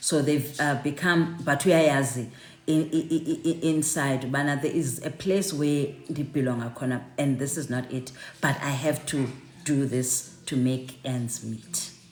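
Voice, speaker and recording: A woman with a South African accent speaks fairly slowly in a very deep, low pitch, her intonation fairly even. Audible room echo surrounds her voice. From South Africa, Cape Town. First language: Xhosa. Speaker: online networking session host. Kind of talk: live online group chat. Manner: halting, many repeated words.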